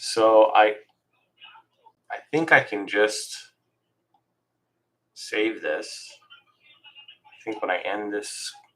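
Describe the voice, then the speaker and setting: A put-on character voice mumbles at a very slow pace. Long pauses break in often. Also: man. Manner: mumbling.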